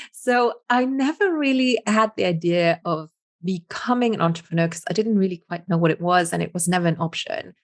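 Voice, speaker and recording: A woman with a Luxembourgish accent speaks at a moderate pace and medium pitch, with lively intonation. The sound is dry and close, with no echo. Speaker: business coach. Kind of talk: interview.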